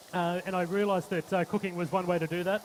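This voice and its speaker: In a flat monotone, a man with a high pitch talks at a fairly quick pace. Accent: Australian. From Australia. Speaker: chef. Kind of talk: live cooking demonstration. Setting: stage with audience. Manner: halting, many fillers.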